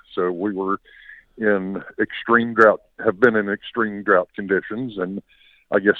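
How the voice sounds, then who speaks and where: Speaking at a moderate pace in an American accent, the voice is a normal speaking voice. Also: man. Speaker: farmer caller. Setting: phone call.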